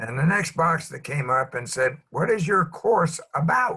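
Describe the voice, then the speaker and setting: Moving at a moderate pace, the voice has a bright, sharp tone, very wide pitch swings, and vocal fry. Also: man. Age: 80s+. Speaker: open space facilitator. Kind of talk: reflective talk. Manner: halting.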